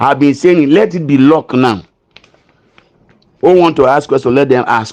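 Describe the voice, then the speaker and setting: Speaking at a fairly quick pace, a man with a Nigerian accent uses lively intonation. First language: not English. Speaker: pastor, grant committee chairman. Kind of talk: appeal in a live stream. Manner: earnest, pleading; halting, repeats words.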